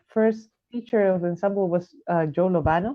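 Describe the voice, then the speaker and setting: A woman with a Spanish accent and a fairly low pitch. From Chile. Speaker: jazz saxophonist. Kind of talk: interview. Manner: halting, many fillers.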